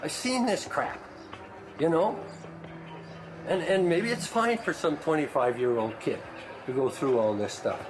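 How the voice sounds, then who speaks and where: Noticeable background noise sits behind a man with a fairly high pitch. His pitch swings very widely at a moderate pace. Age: 60s. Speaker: workshop participant. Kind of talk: heated debate.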